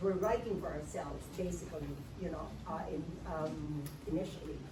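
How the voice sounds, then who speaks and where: A woman speaks at a moderate pace while noticeable background noise and audible room echo fill the recording. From Philippines. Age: 70s. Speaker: writing workshop facilitator. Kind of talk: workshop talk.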